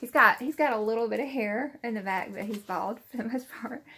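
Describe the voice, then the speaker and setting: A woman speaks with a Southern US accent. Her pitch variation is ordinary. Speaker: YouTuber. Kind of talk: casual chat. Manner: hesitant, filler-heavy.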